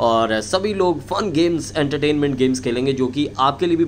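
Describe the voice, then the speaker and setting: Light background noise sits behind a man talking at a fairly slow pace. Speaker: video creator. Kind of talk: casual vlog announcement. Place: home room.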